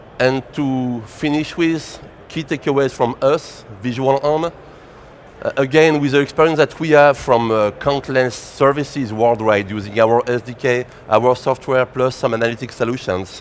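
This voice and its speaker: A man with a French accent at medium pitch and moderate pace, ordinary pitch variation, noticeable background noise. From France. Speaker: tech company presenter. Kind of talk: conference presentation.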